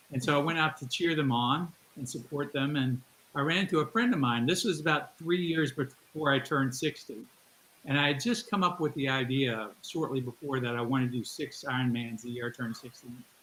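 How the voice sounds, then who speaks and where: A man talks at a fairly quick pace in a fairly high pitch, with ordinary pitch variation. Background noise is noticeable. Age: 60s. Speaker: endurance athlete. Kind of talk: interview.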